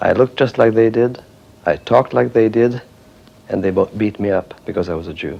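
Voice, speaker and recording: A man with a Hungarian accent speaks at a fairly quick pace, his medium pitch showing ordinary variation. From Transylvania, Romania. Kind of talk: testimony.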